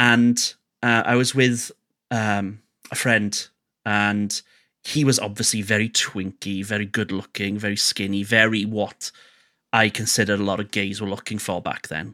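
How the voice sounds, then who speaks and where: Man's fairly low voice with a Welsh accent, bright and sharp in tone, monotone with flat intonation, at a moderate pace, on a very clean recording with a silent background. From Wales. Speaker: radio host and DJ. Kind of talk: casual interview chat.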